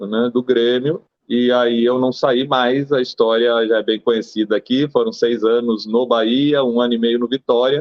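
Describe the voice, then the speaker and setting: A man at a medium pitch and fairly slow pace, monotone and flat in intonation, with very even loudness and hardly any pauses. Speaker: former football goalkeeper. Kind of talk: interview.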